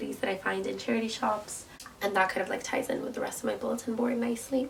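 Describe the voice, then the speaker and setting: A woman is speaking against noticeable background noise. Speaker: university student. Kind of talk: casual talk to camera, vlog tour.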